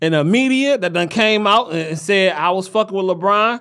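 A man with an American accent speaks at a fairly quick pace in a high voice, with ordinary pitch variation. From Highland Park, Michigan (Detroit area). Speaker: podcast host. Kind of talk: casual chat. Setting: studio. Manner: animated.

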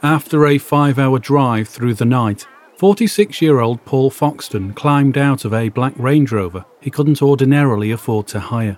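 Noticeable background noise sits behind a man with a northwest English accent. He speaks at a moderate pace and medium pitch with ordinary pitch variation. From northern England, Warrington. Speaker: podcaster. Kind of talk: scripted narration; reading aloud.

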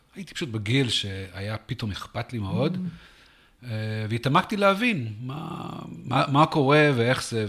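A man talks with an English accent. His intonation is lively. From US South, Texas. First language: English (speaking Hebrew). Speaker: venture capital investor. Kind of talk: interview. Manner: halting.

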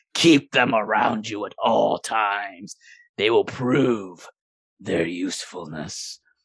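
Putting on a character voice, a man talks very slowly in a raspy, fairly low voice. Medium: actual play. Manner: imperious, manipulative.

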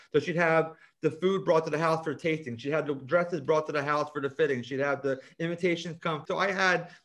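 In a New Jersey accent, a man talks at a fairly quick pace. His intonation stays fairly even. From US Northeast, South Jersey. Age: 40s. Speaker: cosmetic chemist and author. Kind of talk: interview.

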